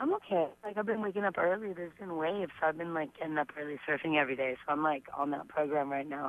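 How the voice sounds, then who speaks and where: Over noticeable background noise, a woman with a Southern California accent talks at a very fast pace in a very deep, low pitch with ordinary pitch variation. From US West Coast, San Fernando Valley, Los Angeles. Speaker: professional surfer. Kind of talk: radio interview. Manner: casual, filler-heavy.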